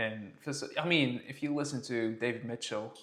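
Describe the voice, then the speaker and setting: Speaking with an English accent, this man keeps a moderate pace. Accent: posh-sounding English, learned from TV. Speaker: podcast co-host. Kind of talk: casual chat.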